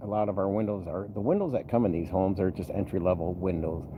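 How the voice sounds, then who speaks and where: Over noticeable background noise, a man talks in a relaxed tone with fairly even intonation. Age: 50s. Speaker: vlogger, bus mechanic and former trucker. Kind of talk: casual vlog update. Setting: poolside, outdoors. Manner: relaxed, filler-heavy.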